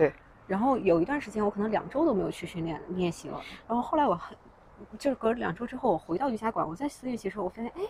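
Over noticeable background noise, a woman speaks at a very fast pace with a fairly high pitch and very wide pitch swings. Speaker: founder of a fitness community. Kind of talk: casual interview. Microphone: farther from mic, quieter than host.

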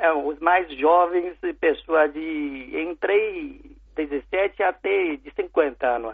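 At a very slow pace, a man speaks with big swings in loudness. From China. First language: Chinese (speaking Portuguese). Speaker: food importer. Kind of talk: interview. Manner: halting.

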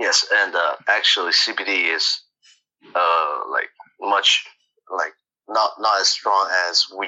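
At a very slow pace, a man speaks with long, frequent pauses. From China. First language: Chinese. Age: young. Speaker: college student. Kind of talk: casual chat.

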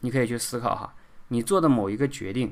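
Male speech captured on a very clean recording, background silent. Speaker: speaking coach and podcast host. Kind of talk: solo podcast monologue. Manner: casual with frequent filler particles.

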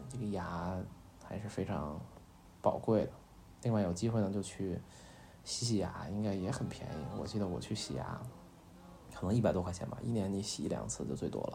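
Amid audible room echo, a man with a fairly low pitch and ordinary pitch variation speaks at a fairly quick pace, leaving long, frequent pauses. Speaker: podcast host. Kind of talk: bedtime talk. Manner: hesitant, many fillers; soft-spoken.

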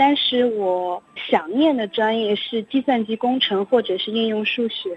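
A woman's ordinary speaking voice, fairly high in pitch, with ordinary pitch variation and a fairly slow pace. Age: young. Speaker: university student. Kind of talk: interview. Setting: phone call.

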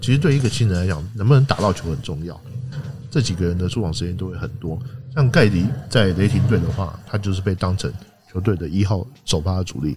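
Against noticeable background noise, a man talks at a fairly quick pace in a very deep, low voice with lively intonation. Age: 40s. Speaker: basketball writer and podcast host. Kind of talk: casual chat.

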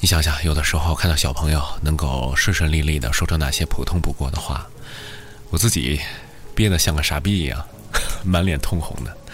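Over noticeable background noise and audible room echo, a man with a very deep, low pitch speaks at a fairly quick pace with ordinary pitch variation. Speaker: late-night radio DJ. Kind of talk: late-night radio monologue. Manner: fluent; soft-spoken.

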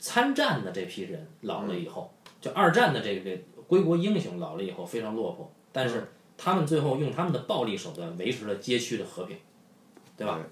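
A man speaks at a fairly quick pace with a Beijing accent, his pitch swinging very widely. Noticeable background noise and audible room echo fill the recording. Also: medium pitch for a man. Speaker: podcast host. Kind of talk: casual chat.

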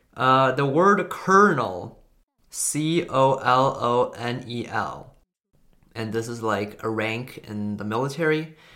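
The voice moves at a very slow pace, with lively intonation and a bright, sharp tone. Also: man, medium pitch for a man. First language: Chinese. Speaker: language learning content creator. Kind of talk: casual educational monologue. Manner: hesitant, with frequent fillers.

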